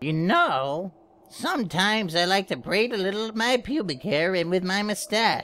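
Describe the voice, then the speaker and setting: At a moderate pace and middle pitch, the speaker performs a put-on character voice. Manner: boastful, rambling.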